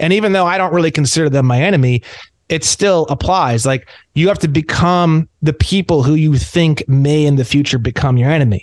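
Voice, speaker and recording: A plain, everyday voice with an American accent, fairly quick, with ordinary pitch variation, very even loudness and a dry, close sound with no echo. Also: man, fairly high pitch for a man. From Indiana, US Midwest. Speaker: sovereign citizen activist. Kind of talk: casual roundtable chat.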